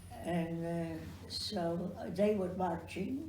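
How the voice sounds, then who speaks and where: A woman speaks over noticeable background noise. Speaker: Holocaust survivor. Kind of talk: interview answer.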